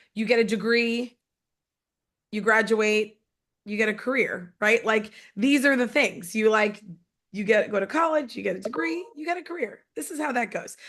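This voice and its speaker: A woman's fairly high, animated voice with lively intonation and long, frequent pauses. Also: moderate pace. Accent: New York. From New York. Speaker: network marketing executive. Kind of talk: motivational talk. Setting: conference call.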